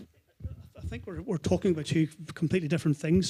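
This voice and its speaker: The man's high-pitched voice has a dark, mellow tone and fairly even intonation, recorded dry and close with no echo. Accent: Northern Irish. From Northern Ireland. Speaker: consumer finance advocate, panelist. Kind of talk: panel discussion.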